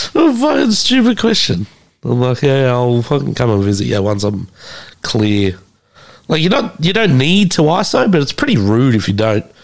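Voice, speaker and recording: Speaking at a moderate pace with an Australian accent, a man uses a medium pitch with very wide pitch swings. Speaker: podcast host. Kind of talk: casual chat. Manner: animated.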